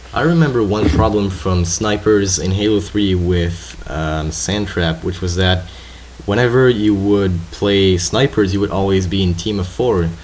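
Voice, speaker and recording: A man with a French accent speaks fairly slowly in a very deep, low pitch, with ordinary pitch variation. Noticeable background noise and audible room echo surround him. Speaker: gaming commentator. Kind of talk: gameplay commentary chat.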